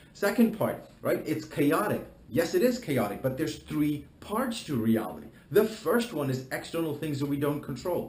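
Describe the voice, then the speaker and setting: The tone is passionate and animated, with very wide pitch swings and vocal fry at a moderate pace. Audible room echo surrounds the voice. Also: man. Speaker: life coach. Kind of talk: promotional talk to camera. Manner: passionate, animated.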